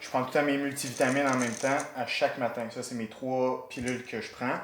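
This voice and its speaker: A man speaks at a fairly quick pace with a Quebec accent, his pitch medium and his intonation monotone and flat. Audible room echo and noticeable background noise surround the voice. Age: 20s. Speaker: amateur MMA fighter. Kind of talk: documentary interview. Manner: hesitant, frequent fillers.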